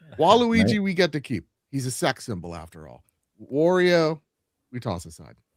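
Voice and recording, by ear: A man with a New Jersey accent and a fairly high pitch speaks at a moderate pace with very wide pitch swings, big swings in loudness and long, frequent pauses, in a very clean, dry, close recording with no echo and a silent background. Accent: New Jersey regional.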